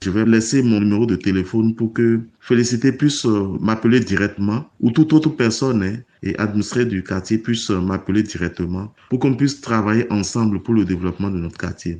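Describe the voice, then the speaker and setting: The man's voice has a dark, mellow tone and moves at a fairly quick pace. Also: fairly low pitch for a man, ordinary pitch variation. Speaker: local neighborhood chief. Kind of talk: recorded statement.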